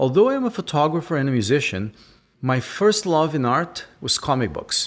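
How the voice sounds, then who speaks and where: A man speaks with a Brazilian accent in a fairly high voice. His pitch swings very widely. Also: moderate pace. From Brazil (south). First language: Portuguese. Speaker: podcast host, photographer. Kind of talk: scripted intro then interview.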